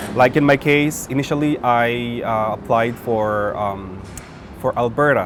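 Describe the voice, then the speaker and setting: Very slow speech from a man, medium in pitch and ordinary in pitch variation, against noticeable background noise. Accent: Filipino. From Philippines. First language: Filipino. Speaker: nurse. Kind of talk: interview. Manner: halting.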